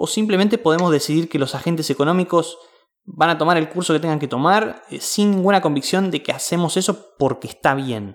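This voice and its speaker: A man with a high pitch speaks at a fairly quick pace with ordinary pitch variation. The recording is very clean, with a silent background. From Mar del Plata, Argentina. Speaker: podcast host. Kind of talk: interview.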